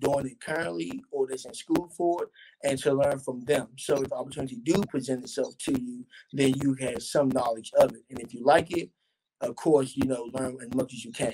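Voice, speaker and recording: A fairly high-pitched man with an American accent, ordinary pitch variation and a fairly quick pace, over noticeable background noise. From Washington, D.C. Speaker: stage and film actor. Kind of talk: interview answer. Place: home room.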